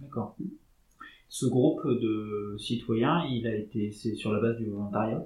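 Intonation stays fairly even while the words come out at a very slow pace. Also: man, medium pitch for a man. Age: 30s. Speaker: podcast host. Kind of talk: interview.

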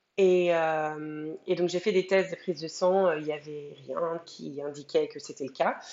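Here is an ordinary speaking voice from a woman, pitched fairly low. Her pitch variation is ordinary. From France. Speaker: mother sharing birth story. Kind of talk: testimony.

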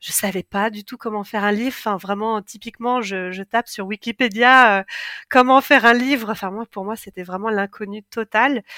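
Her tone bright and sharp, a woman talks at a fairly high pitch and moderate pace with fairly even intonation. The recording is very clean, dry and close, with no echo and a silent background. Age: 40s. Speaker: book writing coach and co-author. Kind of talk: interview conversation.

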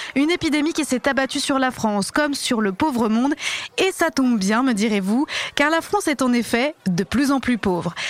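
A woman's high voice at a moderate pace, with lively intonation and very even loudness, dry and close with no echo over noticeable background noise. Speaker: satirical news show host. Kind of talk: satirical news parody show, mock-serious presenter. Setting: studio.

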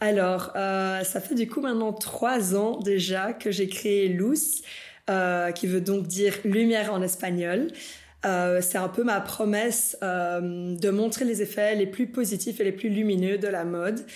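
A woman's medium-pitched voice at a very slow pace, fairly even in intonation and very even in loudness, with audible room echo. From Bolivia, moved to Belgium at 13. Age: 20s. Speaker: fashion designer. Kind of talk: casual interview. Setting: designer's workshop.

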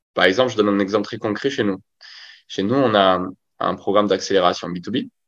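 In a plain, everyday voice, a man with a fairly low pitch talks at a fairly quick pace with fairly even intonation over a quiet background. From rural France. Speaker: growth marketing agency founder. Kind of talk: interview. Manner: casual.

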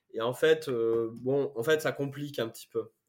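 A man speaks with fairly even intonation. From France, Corrèze (Brive-la-Gaillarde). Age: 30s. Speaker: startup founder. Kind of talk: casual interview.

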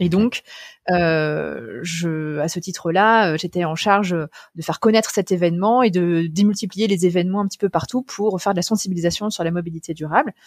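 Recorded very cleanly with a silent background and a dry, close sound with no echo, a woman speaks at a moderate pace with a fairly low pitch and ordinary pitch variation. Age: 30s. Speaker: founder and CEO of a sustainable mobility company. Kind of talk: interview. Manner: hesitant, many fillers.

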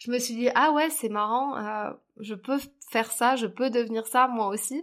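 On a very clean recording with a silent background, a woman talks at a fairly slow pace in a fairly high voice with fairly even intonation. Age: 30s. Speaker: public speaking coach. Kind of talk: interview. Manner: hesitant, many fillers.

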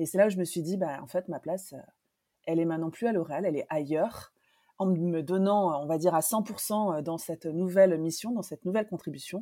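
Very clean, with a silent background, the recording captures a woman speaking fairly quickly in a fairly low, dark, mellow voice with ordinary pitch variation. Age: 40s. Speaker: professional coach. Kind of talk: interview.

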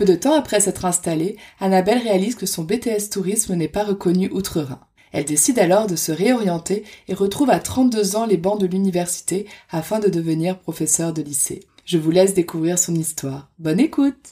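A woman talks at a moderate pace in a dark, mellow tone, her pitch varying in an ordinary way. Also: medium pitch for a woman. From France. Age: 30s. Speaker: podcast host. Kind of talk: scripted narration.

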